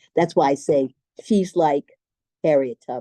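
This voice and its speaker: At a moderate pace, a woman speaks with a dark, mellow tone in a dry, close sound with no echo. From Baltimore, Maryland. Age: 70s. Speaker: artist. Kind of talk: Q&A at a public talk. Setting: live talk with audience and Zoom viewers.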